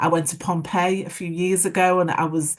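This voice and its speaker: Her intonation stays fairly even as the woman speaks at a moderate pace. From Liverpool, England. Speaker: former mayor. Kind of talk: panel discussion. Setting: online webinar. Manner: hesitant, many fillers.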